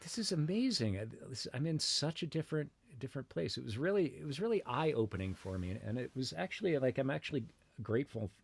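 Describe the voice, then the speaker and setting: With an American accent, a man at medium pitch talks at a very fast pace, his voice somewhat breathy and his pitch swinging very widely. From Massachusetts (Brookline, Boston area). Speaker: experimental musician and university media lecturer. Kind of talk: casual interview chat. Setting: remote call. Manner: halting, many fillers and restarts.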